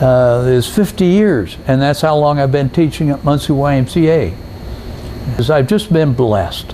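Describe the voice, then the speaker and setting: A man with a fairly high voice speaks with lively intonation over noticeable background noise. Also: moderate pace. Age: 80s+. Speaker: scuba instructor. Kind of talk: interview. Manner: halting.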